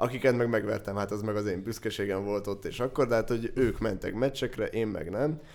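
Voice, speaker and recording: This man speaks at a fairly quick pace with hardly any pauses, in a fairly low pitch. He has a plain, everyday voice with ordinary pitch variation. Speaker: podcast host. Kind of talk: casual chat.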